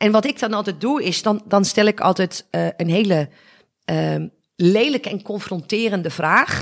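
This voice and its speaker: Her pitch is medium for a woman. This woman's voice shows ordinary pitch variation. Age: 50s. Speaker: business coach. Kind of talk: interview. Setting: at her apartment. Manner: energetic.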